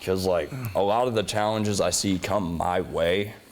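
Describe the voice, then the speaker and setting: A man in a normal speaking voice talks fairly slowly, his fairly low voice showing ordinary pitch variation. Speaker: pro wrestler, tag team champion. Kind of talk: interview.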